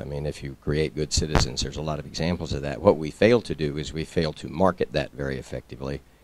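In a dry, echo-free recording with noticeable background noise, a man with an American accent and a very deep, low pitch talks very fast with ordinary pitch variation. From United States. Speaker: scouting official, audience questioner; questioner. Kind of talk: audience question at conference. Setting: stage with audience. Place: meeting room.

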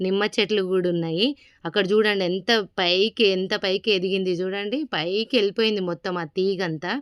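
With a dry, close sound and no echo, a woman speaks at medium pitch with fairly even intonation. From Telangana, Jangaon district. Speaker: vlogger. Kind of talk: casual vlog walkthrough.

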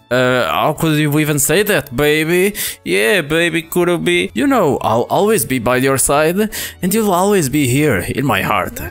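A man puts on a gruff character voice, fairly high-pitched with very wide pitch swings, at a moderate pace over faint background music. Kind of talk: playful gameplay commentary reading game dialogue. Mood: mock-romantic, playful.

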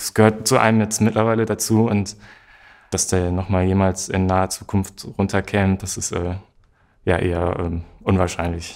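The man's voice is very deep and low, delivered in a flat monotone. He keeps a moderate pace over a quiet background. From northwestern Germany, Osnabrück; northwestern Germany. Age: 20s. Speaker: social work student; interviewee. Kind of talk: interview. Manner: hesitant, many fillers. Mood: relaxed, smiling.

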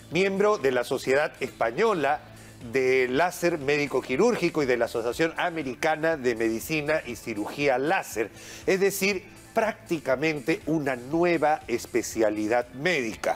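Faint music plays in the background. A man speaks at a fairly slow pace. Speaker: TV show host. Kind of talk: TV program introduction. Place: studio.

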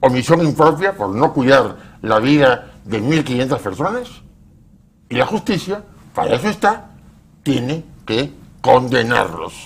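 A man's fairly high voice with vocal fry, very wide pitch swings and a fairly slow pace. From Peru. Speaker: bereaved father and victims' advocate; guest. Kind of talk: TV interview. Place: studio. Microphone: lapel.

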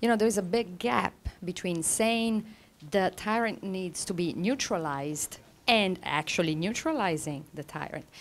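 Her intonation lively, a woman speaks at a medium pitch and a moderate pace. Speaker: academic panel chair. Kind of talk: conference panel introduction. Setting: conference room with audience. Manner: formal. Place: meeting room. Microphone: handheld.

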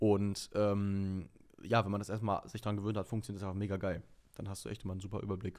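A man rushes along at a very fast pace against a quiet background. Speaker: singer and TV presenter, aspiring voice actor; TV presenter, aspiring voice actor. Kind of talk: casual interview. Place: studio. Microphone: studio mic.

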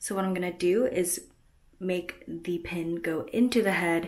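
Her pitch rises and falls in an ordinary way. Nothing can be heard behind her. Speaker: costume tutorial maker. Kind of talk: tutorial. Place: home room. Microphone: phone near.

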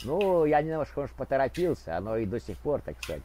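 Very fast and full of very wide pitch swings, a man's dark, mellow voice carries vocal fry. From Ukraine, Kharkiv. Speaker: video blogger. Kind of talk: prank chat roulette conversation.

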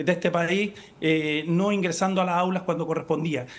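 This man talks at a fairly quick pace. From Chile. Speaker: member of parliament; politician guest. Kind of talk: political interview. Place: home room. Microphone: video call.

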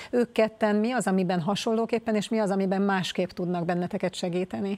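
A woman at a fairly quick pace with fairly even intonation. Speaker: sports interviewer. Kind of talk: interview. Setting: studio. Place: studio. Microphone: lapel.

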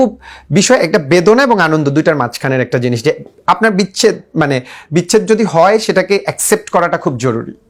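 Here a man speaks in a high voice. His pitch swings very widely. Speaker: youth organization founder. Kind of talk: interview. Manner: halting.

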